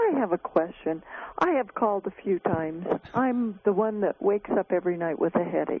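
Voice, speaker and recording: A woman with a normal speaking voice talks fairly quickly at medium pitch with ordinary pitch variation. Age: 60s. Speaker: caller. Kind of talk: call-in question. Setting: phone call.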